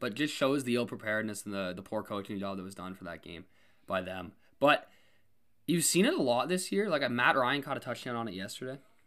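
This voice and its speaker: In a Canadian accent, a man with a normal speaking voice and medium pitch talks at a fairly quick pace with lively intonation and big swings in loudness. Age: young (19). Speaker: sports podcast co-host. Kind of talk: casual chat.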